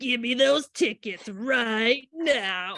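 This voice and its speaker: A female-sounding voice uses a put-on character voice at a high pitch. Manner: tough, demanding.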